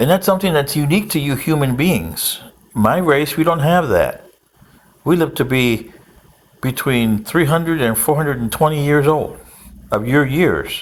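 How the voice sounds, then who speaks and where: A man speaks in a normal speaking voice at a fairly high pitch. His pace is moderate and his pitch variation ordinary. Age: 60s. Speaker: political commentator. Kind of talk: casual monologue.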